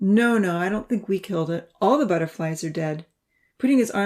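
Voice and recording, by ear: The surroundings are quiet. A natural voice reads aloud.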